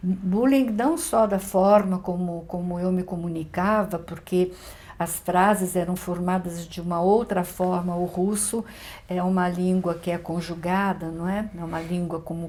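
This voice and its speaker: Somewhat breathy and dark, mellow in tone, a woman speaks at a fairly slow pace with a fairly low pitch and fairly even intonation. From Brazil, São Paulo area (Carapicuíba), Russian émigré family. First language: Russian (speaking Portuguese). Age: 70s. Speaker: writer and visual artist. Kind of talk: interview.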